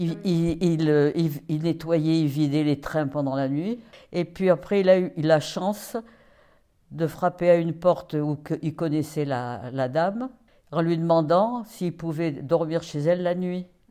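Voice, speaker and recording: Over a silent background in a very clean recording, a woman speaks with a dark, mellow tone at a fairly low pitch. Her pace is very slow, with ordinary pitch variation. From France, Paris. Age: 80s+. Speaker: interviewee, great-grandmother. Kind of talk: life story interview. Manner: halting, with repetitions.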